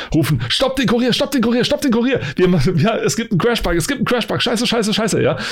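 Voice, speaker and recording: Over noticeable background noise, a man with an extremely high pitch rattles along at a very fast pace with hardly any pauses, lively intonation and very even loudness. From eastern Germany. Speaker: podcast host. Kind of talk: casual chat.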